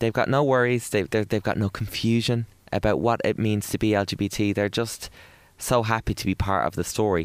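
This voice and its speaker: A man with an Irish accent talks at a moderate pace, fairly low in pitch with ordinary pitch variation, in a dry, close sound with no echo. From Ireland. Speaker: broadcaster and author. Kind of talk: interview. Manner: animated.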